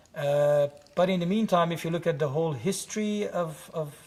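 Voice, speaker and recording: A man with an Iranian accent, fairly high pitch and ordinary pitch variation. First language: Farsi. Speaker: playwright and director. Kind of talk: interview.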